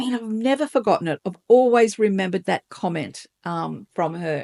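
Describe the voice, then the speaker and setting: A woman's dark, mellow voice at a moderate pace with lively intonation, dry and close with no echo, over a quiet background. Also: medium pitch for a woman. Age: 60s. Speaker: lifestyle vlogger. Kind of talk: casual talk to camera.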